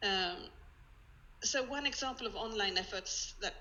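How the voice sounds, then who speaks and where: A woman with a Swedish accent speaks at a moderate pace with ordinary pitch variation. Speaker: museum collections head. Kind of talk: online presentation. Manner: halting.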